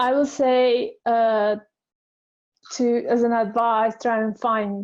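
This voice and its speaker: In a non-native accent, a woman speaks with monotone, flat intonation. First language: not English. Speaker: designer. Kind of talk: panel discussion. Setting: webinar. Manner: halting.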